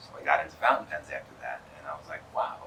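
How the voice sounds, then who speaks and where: Over noticeable background noise, a man with a New York accent talks at a very fast pace. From New York, Long Island. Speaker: pen distributor representative. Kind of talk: interview. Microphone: poor audio quality.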